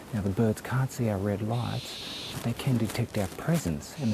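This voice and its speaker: A soft-spoken man with an Australian accent talks at a moderate pace in a fairly low pitch with ordinary pitch variation, against noticeable background noise. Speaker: news reporter. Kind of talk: field report piece to camera. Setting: outdoors in bushland at night. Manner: speaking softly.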